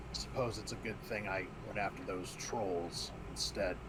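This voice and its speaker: Someone uses a put-on character voice at a moderate pace. Loud background noise fills the recording. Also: man, very deep, low pitch for a man. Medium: actual play. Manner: gruff, terse.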